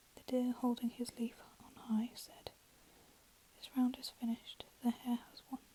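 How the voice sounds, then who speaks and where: Whispering softly, a woman speaks at a fairly slow pace with long, frequent pauses. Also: big swings in loudness. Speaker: ASMR storyteller. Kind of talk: read fairy tale story. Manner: soft-spoken, whispered.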